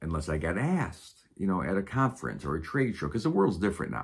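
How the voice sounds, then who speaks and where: With vocal fry and a very deep, low pitch, a man speaks at a fairly quick pace using very wide pitch swings, in a very clean recording with a silent background. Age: 60s. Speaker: stand-up comedian. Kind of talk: casual monologue to camera. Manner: serious, unscripted.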